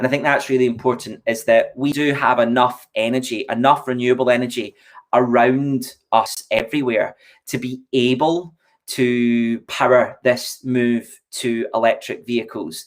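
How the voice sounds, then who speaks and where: A man talks at a moderate pace, keeping a medium pitch and fairly even intonation. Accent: Scottish. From Scotland, Largs (Ayrshire). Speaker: EV company representative. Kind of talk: casual chat.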